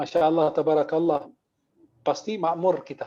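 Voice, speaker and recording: With an Arabic accent, a man speaks at a fairly quick pace in a fairly high pitch, his tone dark and mellow. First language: Arabic (speaking Indonesian). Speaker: Islamic preacher. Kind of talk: religious lecture with humorous banter. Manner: animated.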